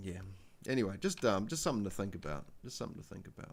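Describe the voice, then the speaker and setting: A man talks fairly quickly at a fairly low pitch, in a New Zealand accent. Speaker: spiritual livestreamer. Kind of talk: casual live stream chat. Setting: live stream. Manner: halting, many fillers.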